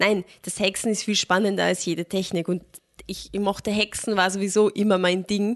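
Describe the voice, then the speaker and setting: The speaker keeps a moderate pace and a monotone, flat intonation. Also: woman, medium pitch for a woman. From Austria, moved from Germany as a small child. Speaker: film podcast co-host. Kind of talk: casual chat.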